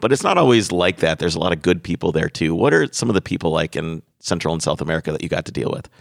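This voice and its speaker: A man's very deep, low voice at a very fast pace with hardly any pauses, ordinary pitch variation and a dry, close sound with no echo. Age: 30s. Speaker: podcast host. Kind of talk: casual chat and interview. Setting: studio.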